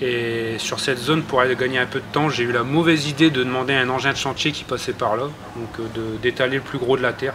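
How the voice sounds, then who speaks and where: A man's monotone, flat delivery in a northern French accent, with noticeable background noise. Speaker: lawn care enthusiast. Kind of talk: casual tutorial talk to camera. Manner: hesitant, with filler words.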